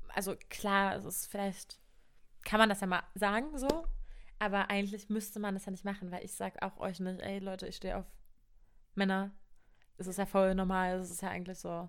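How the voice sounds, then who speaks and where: A medium-pitched woman speaks at a moderate pace with fairly even intonation, big swings in loudness, and long, frequent pauses. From Brandenburg, eastern Germany (Cottbus). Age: 20s. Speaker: university student. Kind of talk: casual chat.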